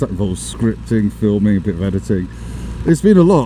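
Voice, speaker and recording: This is a man speaking. Noticeable background noise runs behind him. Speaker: motorcycle vlogger. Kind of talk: casual vlog chat. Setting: riding a motorbike in the rain. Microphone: new action camera audio setup, may be poor.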